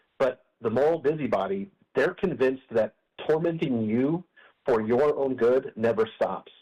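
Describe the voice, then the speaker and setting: Speaking at a moderate pace with an American accent, a man has a dark, mellow tone, medium pitch, ordinary pitch variation, and very even loudness. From Colorado. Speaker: opinion writer. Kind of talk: radio interview answer.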